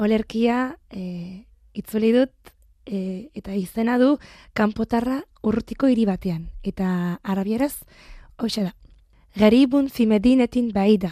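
A woman speaks at a fairly high pitch with a dark, mellow tone and ordinary pitch variation. The sound is dry and close, with no echo. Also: very clean recording, silent background. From France, Marseille. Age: 20s. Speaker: translator. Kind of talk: interview. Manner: halting.

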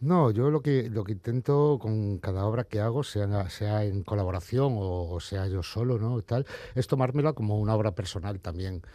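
A man talks with hardly any pauses, his pitch fairly low and his tone dark and mellow. The recording is very clean, with a silent background. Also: ordinary pitch variation, moderate pace. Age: 40s. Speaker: comic book artist. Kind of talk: interview. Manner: halting, with repetitions.

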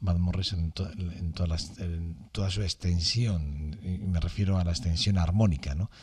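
His voice is somewhat breathy, with a very deep, low pitch. The man speaks fairly slowly and with fairly even intonation. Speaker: radio music host. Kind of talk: radio music commentary. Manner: halting, many repetitions and fillers.

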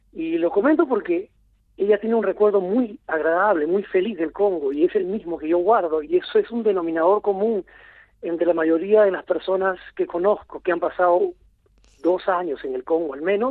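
A man with a high pitch speaks at a moderate pace. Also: ordinary pitch variation. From Lima, Peru. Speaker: film director. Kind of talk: interview. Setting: phone call.

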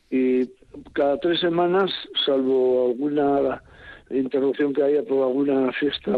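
A man with a fairly high voice talks at a fairly slow pace. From Álava, Basque Country. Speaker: retiree walking-route organizer. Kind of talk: radio interview. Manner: halting.

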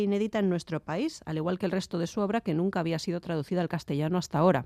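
Her voice sits at a medium pitch with a dark, mellow tone and ordinary pitch variation, heard against a quiet background. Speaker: book reviewer. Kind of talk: book review. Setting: studio.

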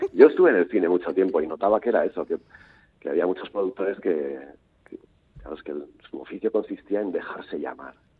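A man speaks at a very fast pace with big swings in loudness. He leaves long, frequent pauses. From Basque Country, Portugalete. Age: 50s. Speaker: novelist. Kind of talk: interview. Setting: phone call. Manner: halting, repetitive.

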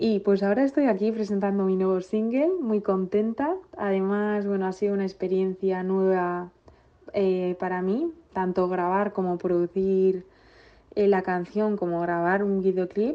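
In an ordinary speaking voice, a woman talks at a fairly slow pace with a medium pitch. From Basque Country, Villabona. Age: 20s. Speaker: singer. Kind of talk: recorded self-introduction.

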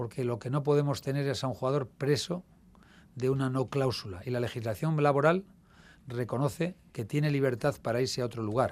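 Recorded very clean with a silent background, a man speaks in a plain, everyday voice with ordinary pitch variation. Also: medium pitch for a man, fairly quick pace. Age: 60s. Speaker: club presidential candidate. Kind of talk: radio interview.

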